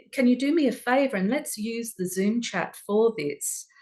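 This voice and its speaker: A woman with an Australian accent speaks at a fairly slow pace in a calm tone. Her intonation is lively. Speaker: workshop presenter. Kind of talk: online workshop talk. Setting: video call.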